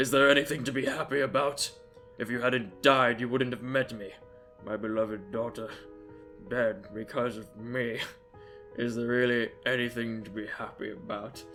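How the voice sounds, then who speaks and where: Over clear music in the background, a man does a put-on character voice at medium pitch. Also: moderate pace. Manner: dramatic narration.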